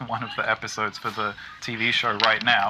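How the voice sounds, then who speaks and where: Speech in an American accent, noticeable noise behind it. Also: man. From Britain. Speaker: game music composer. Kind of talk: interview on livestream. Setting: video call.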